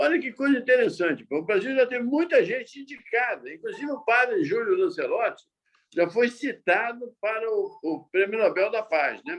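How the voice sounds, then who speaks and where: At a moderate pace, a man speaks at an extremely high pitch with very wide pitch swings. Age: 70s. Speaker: journalist. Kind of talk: interview. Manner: halting, with repetitions.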